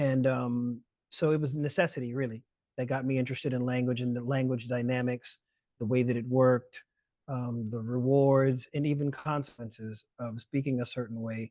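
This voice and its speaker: Speaking at a moderate pace with a South Carolina Lowcountry accent, a man uses monotone, flat intonation and a dark, mellow tone. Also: medium pitch for a man, quiet background. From US South, Charleston South Carolina, Gullah Geechee. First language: Gullah. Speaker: lecturer and language justice activist. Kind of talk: webinar talk. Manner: halting, many fillers and restarts.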